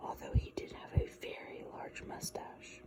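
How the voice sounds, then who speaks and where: Whispering at a fairly slow pace, the voice comes through noticeable background noise. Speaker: ASMR creator. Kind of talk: ASMR book reading. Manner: whispered.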